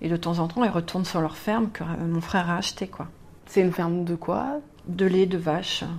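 Over noticeable background noise, a woman speaks at a fairly low pitch. Her pace is moderate and her pitch variation ordinary. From Normandy, France. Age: 40s. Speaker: blogger and graphic designer. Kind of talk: interview. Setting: bar.

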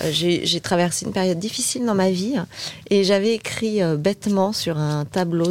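A woman at a fairly slow pace with ordinary pitch variation, over noticeable background noise. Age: 50s. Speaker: digital agency partner. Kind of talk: casual interview chat.

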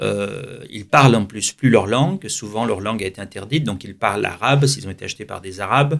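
A man talks at a fairly quick pace in an unremarkable speaking voice. His pitch sits in the medium range, with ordinary pitch variation. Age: 60s. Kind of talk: radio interview.

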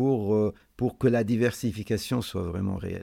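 On a very clean recording with a silent background, a man speaks at a very slow pace in a dark, mellow tone, with fairly low pitch and fairly even intonation. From Lebanon. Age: 50s. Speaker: business owner. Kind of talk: interview.

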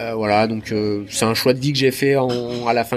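Over noticeable background noise, a man speaks at a medium pitch and a moderate pace. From southern Isère, French Alps. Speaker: trail runner. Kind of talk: interview. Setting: at a race finish.

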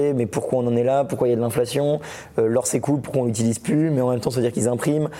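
Very fast speech from a man at medium pitch, fairly even in intonation, over noticeable background noise. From France. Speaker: Bitcoin educator and YouTuber. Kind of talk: casual interview. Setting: at a conference in Biarritz.

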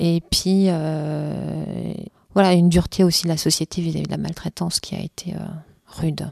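A woman talks at a moderate pace, and the sound is dry and close with no echo. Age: 40s. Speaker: interviewee, abuse and cancer survivor. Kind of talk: testimony. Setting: her home.

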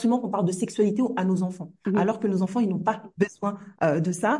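With a dark, mellow tone, a woman speaks in a somewhat breathy voice. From Comoros. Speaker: teacher and trainer. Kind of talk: podcast interview.

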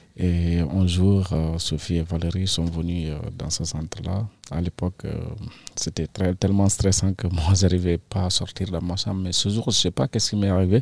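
A man talks with fairly even intonation in a very deep, low pitch, keeping a moderate pace. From Senegal, Casamance. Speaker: migrant and painter. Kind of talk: interview. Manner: halting. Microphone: too quiet at first.

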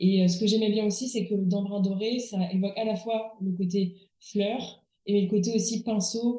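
Speaking very slowly, a woman uses a medium pitch and monotone, flat intonation. Her voice has a dark, mellow tone and is somewhat breathy. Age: 30s. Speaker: furniture restorer. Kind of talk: interview. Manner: halting.

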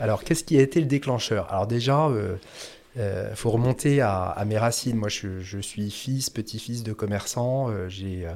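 Speaking fairly slowly, a man keeps a medium pitch with ordinary pitch variation. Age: 40s. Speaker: former audit firm executive turned café owner. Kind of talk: interview conversation. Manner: halting, many hesitations and repeated words.

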